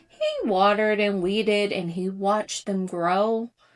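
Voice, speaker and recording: Over noticeable background noise, a woman talks at a fairly slow pace and a medium pitch. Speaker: ASMR creator. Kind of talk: children's picture book read aloud in rhyme. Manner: soft-spoken, relaxing.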